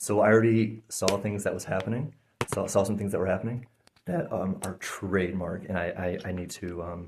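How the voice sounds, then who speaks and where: A soft-spoken man talks at a fairly quick pace. His voice is fairly low, with fairly even intonation. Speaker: energy healer. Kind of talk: guided session with explanation to camera. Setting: indoors, filmed session. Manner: halting, many fillers; soft-spoken normally, speaking up here.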